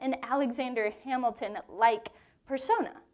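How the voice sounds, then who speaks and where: With a Southern US accent, a woman talks at a moderate pace in an animated tone. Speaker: women's Bible study teacher. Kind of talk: Bible teaching to a live group. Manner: conversational, animated.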